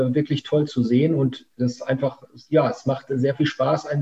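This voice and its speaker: A man with a fairly high pitch talks at a moderate pace in a dark, mellow, somewhat breathy tone with monotone, flat intonation. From Münsterland, Germany. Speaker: company founder. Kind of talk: interview. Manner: hesitant, many fillers.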